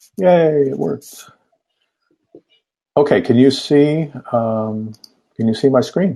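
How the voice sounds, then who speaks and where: With lively intonation, a man at medium pitch speaks in a dark, mellow tone at a very slow pace, leaving long, frequent pauses. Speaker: sustainability consultant and lecturer. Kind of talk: online talk.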